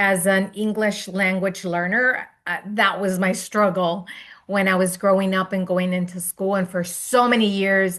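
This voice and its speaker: In a Spanish accent, a woman speaks at a moderate pace with a medium pitch. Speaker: education consultant. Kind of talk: panel moderation.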